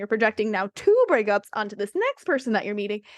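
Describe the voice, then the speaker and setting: A woman speaks in an animated tone at a fairly high pitch. The background is quiet. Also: dry, close sound with no echo. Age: 40s. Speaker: dating and relationship coach. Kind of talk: casual chat. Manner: fast.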